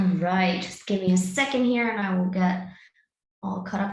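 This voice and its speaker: A somewhat breathy woman at a medium pitch and a fairly quick pace, with fairly even intonation. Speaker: clinical research scientist and dietitian. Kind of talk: webinar presentation. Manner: fast.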